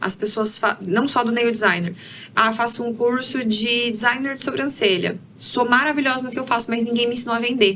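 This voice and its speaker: A woman speaks at a moderate pace with fairly even intonation. Noticeable background noise runs behind her. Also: fairly high pitch for a woman. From Brazil, interior of Paraná. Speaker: career mentor. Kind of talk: podcast interview. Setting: studio.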